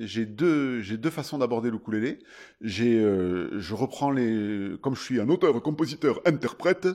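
Against a quiet background, a man talks very slowly at medium pitch, his dark, mellow voice swinging very widely in pitch. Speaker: singer-songwriter and ukulele player. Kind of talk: interview. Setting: festival. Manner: animated.

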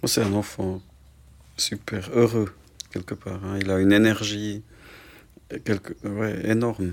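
Very slowly, a man speaks with long, frequent pauses. His intonation is monotone and flat. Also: fairly low pitch for a man. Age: 40s. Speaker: hand surgeon and parent of a child with a muscle disease. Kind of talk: casual interview.

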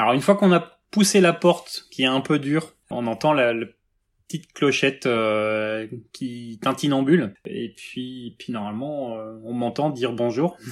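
This man talks at a medium pitch with lively intonation and big swings in loudness. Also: fairly slow pace. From Brittany, France (Rennes). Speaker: tea shop owner. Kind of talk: interview. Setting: video call. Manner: halting.

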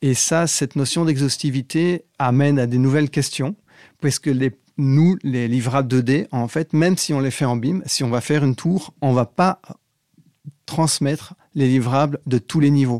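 A man's fairly high-pitched voice with a dark, mellow tone, ordinary pitch variation, very even loudness and a fairly slow pace, in a dry, close sound with no echo on a very clean recording with a silent background. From Belgium. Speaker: architect and BIM manager. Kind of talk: interview.

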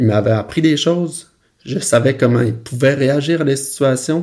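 A man with a Quebec accent speaks in a dark, mellow, medium-pitched voice with ordinary pitch variation. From Quebec, Saguenay-Lac-Saint-Jean (Roberval). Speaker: film director. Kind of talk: interview storytelling. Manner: casual, many hesitations.

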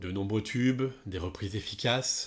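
On a very clean recording with a silent background, a man with a fairly low pitch speaks at a fairly slow pace with ordinary pitch variation. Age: 40s. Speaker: music journalist and podcast host. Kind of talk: solo podcast monologue. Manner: casual, with many fillers.

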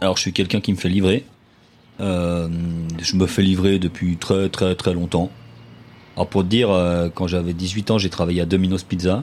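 A man's very deep, low voice at a moderate pace, with fairly even intonation and very even loudness. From Geneva, Switzerland. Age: 30s. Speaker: social worker. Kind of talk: interview. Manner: halting.

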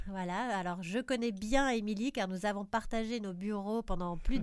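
A plain, everyday voice from a woman at a medium pitch, moderate pace and ordinary pitch variation, on a very clean recording with a silent background. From Belgium. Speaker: podcast host, PR agency founder. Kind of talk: interview.

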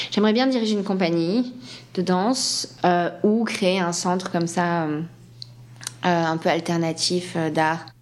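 Long, frequent pauses mark this woman's very slow speech, pitched fairly low. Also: ordinary pitch variation. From France, Landes (Atlantic coast). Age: 30s. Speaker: ballet dancer. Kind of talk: interview.

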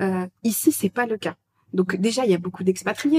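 A woman speaks at a medium pitch, somewhat breathy. The sound is dry and close with no echo. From France. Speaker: expat agency co-founder. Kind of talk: casual interview. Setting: recorded at the guests' home.

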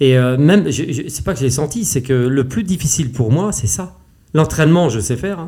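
Fairly high-pitched and somewhat breathy, this man's dark, mellow voice moves at a fairly quick pace with lively intonation. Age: 50s. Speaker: race walker, athlete. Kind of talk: interview. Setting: face to face at host's home. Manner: animated, passionate.

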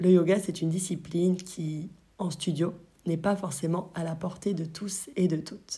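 A woman's somewhat breathy, dark, mellow voice, fairly low in pitch, at a moderate pace with monotone, flat intonation. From France, Brittany. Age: 20s. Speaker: yoga teacher and podcast host. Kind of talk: solo podcast monologue.

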